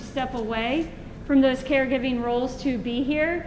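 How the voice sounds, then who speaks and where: Loud and fairly even in intonation, a woman speaks at a high pitch amid noticeable background noise and audible room echo. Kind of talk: educational presentation.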